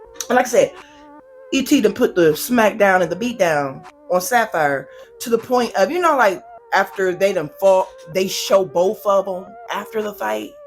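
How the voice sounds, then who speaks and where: The tone is animated, with lively intonation. Music plays in the background. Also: woman, medium pitch for a woman, moderate pace. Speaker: YouTuber reviewing reality TV. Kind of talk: casual commentary review.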